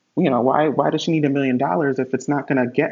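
Speaking in an American accent, a man with an unremarkable speaking voice keeps a medium pitch and fairly even intonation. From Connecticut, US. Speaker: hotel industry worker and life insurance agent. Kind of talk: casual interview chat. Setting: remote video call.

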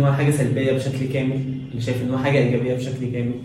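Against noticeable background noise and audible room echo, a man speaks at medium pitch in a monotone, flat intonation. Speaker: podcast co-host. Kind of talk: casual chat.

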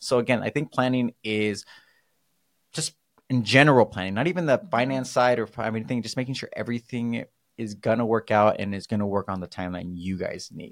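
A man with an American accent has an ordinary speaking voice and ordinary pitch variation, talking at a fairly quick pace. The recording is very clean with a silent background and a dry, close sound with no echo. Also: medium pitch for a man. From California. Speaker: mortgage podcast host. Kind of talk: casual chat.

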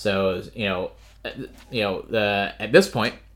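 Pitch varies in an ordinary way as a passage is read aloud in a natural voice.

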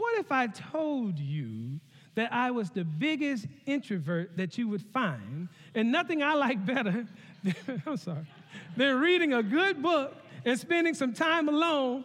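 A man with a Southern US accent speaks fairly slowly at an extremely high pitch. His tone is animated, with very wide pitch swings. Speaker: connection pastor. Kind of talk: sermon. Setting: church.

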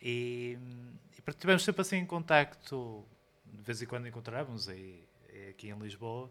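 The voice has a bright, sharp tone and moves at a fairly slow pace with long, frequent pauses. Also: man, medium pitch for a man. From Portugal, Porto area. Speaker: DJ, producer and musician. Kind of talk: live interview. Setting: record store with live audience. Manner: halting, many repetitions.

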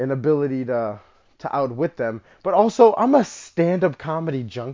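With lively intonation and a fairly high pitch, a man talks in a plain, everyday voice. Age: 20s. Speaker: streamer and podcaster. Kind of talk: solo podcast monologue, casual chat. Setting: home, moving around, cat noises in background. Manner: casual, chatty.

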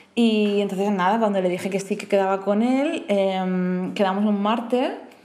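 A woman with a medium pitch talks at a fairly slow pace. Audible room echo surrounds her voice. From Murcia, Spain. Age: 30s. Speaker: podcast guest, host's flatmate. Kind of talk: casual chat.

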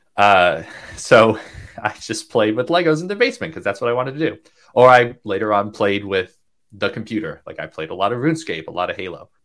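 A man with an American accent speaks at a very fast pace and medium pitch, with very wide pitch swings and big swings in loudness. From upstate New York. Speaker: open source software developer. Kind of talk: interview conversation.

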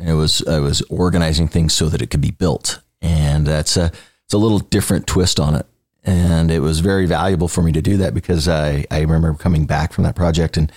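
A fairly quick pace in an American accent, very even in loudness, with a dry, close sound and no echo. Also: man, very deep, low pitch for a man. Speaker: construction company executive. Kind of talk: interview. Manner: animated.

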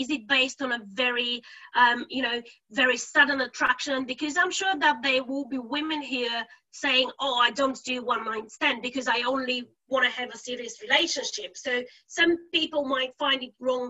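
High in pitch, a woman's voice comes through. She keeps a moderate pace. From Bulgaria. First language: Bulgarian. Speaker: podcast host. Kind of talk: interview.

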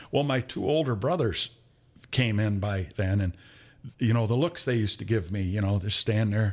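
In a very clean recording with a silent background, a man with an American accent speaks at a moderate pace, his pitch fairly low with ordinary variation. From Michigan, Flint area. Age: 60s. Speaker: retired police chief and conservation officer. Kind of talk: casual chat.

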